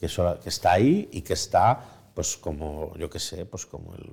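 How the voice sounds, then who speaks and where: On a very clean recording with a silent background, the man talks at a fairly slow pace. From Spain. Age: 40s. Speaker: journalist and writer. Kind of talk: interview conversation. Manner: halting.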